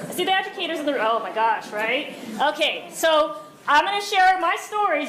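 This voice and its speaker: Loud and high-pitched, a woman talks at a fairly quick pace with very wide pitch swings, over noticeable background noise and audible room echo. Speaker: school district administrator. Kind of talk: conference talk. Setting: stage with live audience. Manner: animated.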